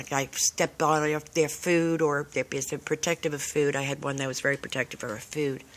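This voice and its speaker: A woman's very deep, low voice, monotone and flat, at a fairly quick pace with hardly any pauses. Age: 60s. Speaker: dog owner. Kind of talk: casual chat. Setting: outdoors.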